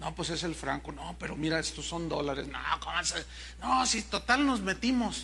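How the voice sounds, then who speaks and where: A man speaks with a Mexican accent in an animated tone. Audible room echo surrounds his voice. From Mexico. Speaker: pastor. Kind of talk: sermon.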